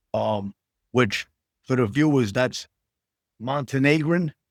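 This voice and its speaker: A man talks at a very slow pace in a medium pitch. The sound is dry and close with no echo. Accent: strong New York. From New York City, Queens. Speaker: actor. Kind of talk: casual interview chat. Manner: casual, many fillers.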